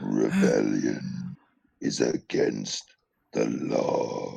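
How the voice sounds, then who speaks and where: The speaker growls in a put-on character voice. The pace is very slow. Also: man. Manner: robotic, menacing.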